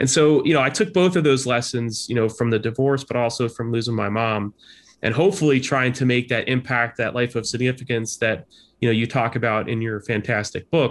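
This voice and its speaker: This man has a plain, everyday voice and an American accent, at a medium pitch with ordinary pitch variation. He talks at a fairly quick pace against a quiet background. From New Jersey Shore, US. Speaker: leadership professor, former army officer. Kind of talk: interview conversation.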